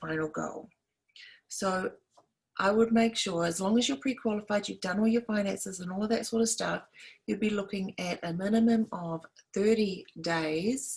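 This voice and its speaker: Slightly breathy, a woman with a New Zealand accent talks at a medium pitch and a moderate pace with ordinary pitch variation. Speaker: realtor. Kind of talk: tutorial. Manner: animated.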